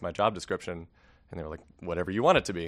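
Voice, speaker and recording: A man talks with an American accent, the background quiet. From US West Coast, Los Angeles. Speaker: biologist, PhD student. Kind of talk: interview.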